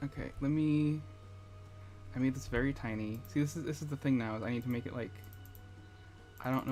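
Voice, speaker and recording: A man talks with ordinary pitch variation at a medium pitch while music plays behind him. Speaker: gaming livestreamer. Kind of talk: casual livestream chat. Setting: home streaming setup with headphones. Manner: halting, with repetitions.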